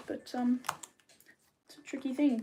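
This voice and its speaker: This woman has an Australian accent. She talks at a moderate pace. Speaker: mermaid tail maker and streamer. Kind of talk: casual live stream chat while crafting. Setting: live stream. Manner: rambling, hesitant with many ums.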